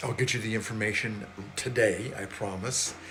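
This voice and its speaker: A man speaks at a fairly low pitch with fairly even intonation. The room echo is audible, and background noise is noticeable. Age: 70s. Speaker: small business coach. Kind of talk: sales pitch.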